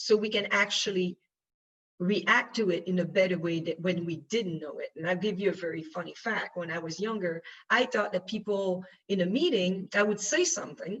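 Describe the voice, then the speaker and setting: A woman speaks with a French accent. Her pace is moderate. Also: medium pitch for a woman, ordinary pitch variation. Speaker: panelist, UN official. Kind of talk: panel discussion. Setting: conference panel. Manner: halting, many fillers.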